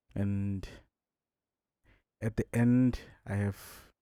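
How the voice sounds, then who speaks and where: A man's fairly low, dark, mellow voice with fairly even intonation, a dry, close sound with no echo and a very clean recording over a silent background. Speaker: music producer. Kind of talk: tutorial. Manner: casual.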